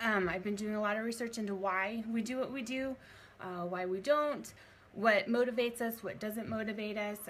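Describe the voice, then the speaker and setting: With noticeable background noise behind her, a woman speaks fairly quickly at a fairly high pitch, her pitch varying in an ordinary way. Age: 30s. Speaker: fitness coach. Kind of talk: live video talk. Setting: live video stream. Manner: halting.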